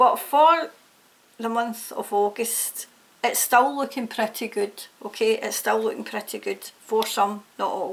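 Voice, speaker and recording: A woman with a Scottish accent, fairly high pitch, ordinary pitch variation, a fairly slow pace and vocal fry. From Scotland. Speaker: tarot reader. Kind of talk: tarot reading to camera. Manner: casual, hesitant with fillers.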